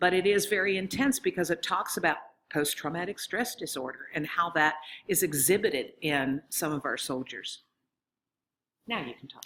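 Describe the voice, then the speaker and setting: On a very clean recording with a silent background, a plain, everyday voice moves at a moderate pace with lively intonation and big swings in loudness. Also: woman, fairly low pitch for a woman. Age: 60s. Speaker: professor of library science. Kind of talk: conference presentation.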